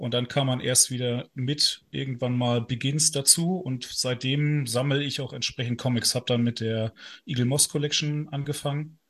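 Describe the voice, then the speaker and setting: A man speaks at a moderate pace with a medium pitch and fairly even intonation over a quiet background. He has an unremarkable speaking voice. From northern Germany. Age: 30s. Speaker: lawyer and video game news writer. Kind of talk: casual interview.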